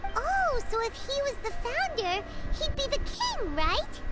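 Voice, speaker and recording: Squeaky and extremely high in pitch, a put-on character voice goes along at a fairly slow pace. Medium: video game. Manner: lively, high-energy.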